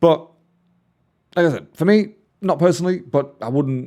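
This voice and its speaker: Recorded very cleanly against a silent background, a man talks at a fairly quick pace. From northeast England. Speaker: music reaction youtuber. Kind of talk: casual reaction commentary. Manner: casual, conversational.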